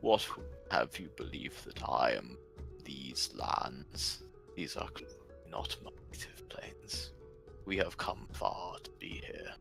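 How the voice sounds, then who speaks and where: In a put-on character voice, a man whispers with a rumbling sound at a fairly slow pace. He leaves long, frequent pauses, and music plays clearly in the background. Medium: actual play. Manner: slow, formal, terse.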